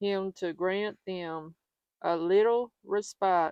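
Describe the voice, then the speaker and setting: Speaking with a Southern US accent at a very slow pace, a woman uses a medium pitch and fairly even intonation in a dry, close sound with no echo. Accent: Southern American. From Southern United States. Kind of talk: religious scripture reading. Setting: outdoors.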